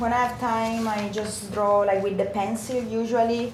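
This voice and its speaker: A woman speaks with an Italian accent. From northern Italy, near Turin. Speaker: architect. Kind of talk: documentary interview. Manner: halting.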